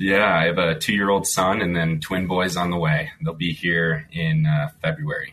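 Over background music, a man with an American accent speaks at a very deep, low pitch with fairly even intonation. His loudness stays very even and he hardly pauses. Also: moderate pace. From Minnesota (Lake Minnetonka area). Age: 30s. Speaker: conservation association director. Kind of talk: radio interview.

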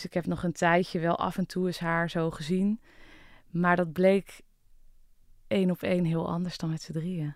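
Speaking fairly slowly in a monotone, flat voice, a woman with a fairly low pitch leaves long, frequent pauses. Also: very clean recording, silent background. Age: 30s. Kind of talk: personal testimony interview. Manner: hesitant, many fillers.

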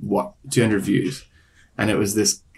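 The voice has vocal fry and keeps a moderate pace. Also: man. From Ireland. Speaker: singer-songwriter. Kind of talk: interview.

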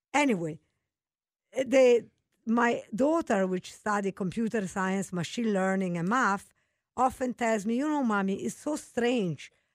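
A woman with an Italian accent speaks at a fairly slow pace, with a fairly high pitch and lively intonation, on a very clean recording with a silent background. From Italy. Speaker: mathematics professor. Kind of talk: casual interview.

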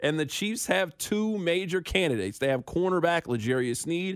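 A man talks at a high pitch. His intonation is lively. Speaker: sports radio host. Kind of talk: sports talk radio.

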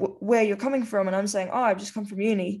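On a very clean recording with a silent background, a woman talks with an Australian accent. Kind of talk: casual conversation.

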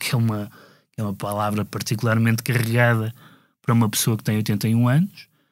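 Speech comes at a fairly quick pace in a monotone, flat intonation. The recording is very clean, with a silent background. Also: man, medium pitch for a man. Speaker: music critic podcast co-host. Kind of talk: casual discussion. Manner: hesitant, many fillers.

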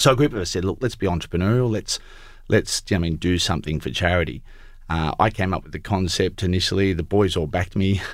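With an Australian accent, a man speaks at a very fast pace in a very deep, low pitch with ordinary variation, on a very clean recording with a silent background. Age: 40s. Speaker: accountant and entrepreneur. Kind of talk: interview.

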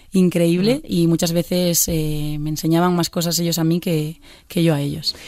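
Her tone dark and mellow, a woman speaks at a fairly low pitch with monotone, flat intonation. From Galicia, Pontevedra. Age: 20s. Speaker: singer. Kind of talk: interview. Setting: studio. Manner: halting.

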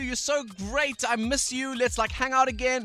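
A man speaks in a raised, projected voice. Music plays in the background. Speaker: radio host. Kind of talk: casual radio interview. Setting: studio.

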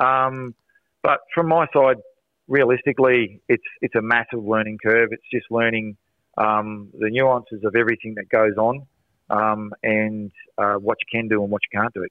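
This man speaks with an Australian accent at a medium pitch. His pace is fairly slow and his intonation fairly even. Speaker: soccer coach. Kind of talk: radio interview. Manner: loud.

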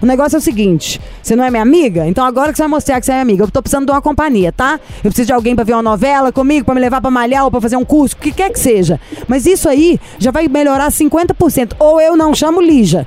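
Over noticeable background noise, a woman talks at a very fast pace in an animated tone, her high voice full of lively intonation. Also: hardly any pauses. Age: 30s. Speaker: radio host. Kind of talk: casual chat. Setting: studio.

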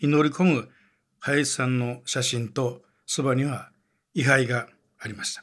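A man of medium pitch speaks fairly slowly with fairly even intonation and long, frequent pauses, on a very clean recording with a silent background. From Wakayama, Japan. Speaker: newspaper journalist. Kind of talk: documentary narration.

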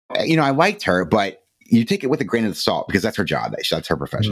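Music plays in the background as a man talks at a very fast pace. He speaks in an American accent. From Cleveland, Ohio. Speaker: mental health podcaster. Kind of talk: interview.

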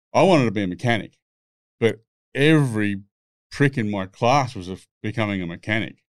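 Speaking fairly quickly with an Australian accent, a man with a fairly low pitch shows ordinary pitch variation, big swings in loudness and long, frequent pauses. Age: 60s. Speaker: former racing driver and music producer. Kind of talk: casual chat, storytelling. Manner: blunt, swearing, storytelling.

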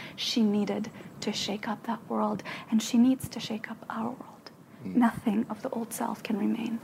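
A woman with a fairly high voice speaks at a moderate pace in a monotone, flat intonation. Her loudness swings widely over noticeable background noise. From Ukraine. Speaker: spiritual teacher and healer. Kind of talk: casual chat.

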